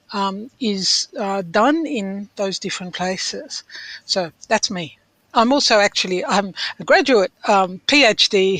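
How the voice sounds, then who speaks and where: A woman with an Australian accent talks at a medium pitch. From France, then Australia from childhood. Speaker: author. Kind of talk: radio interview. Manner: hesitant, many fillers.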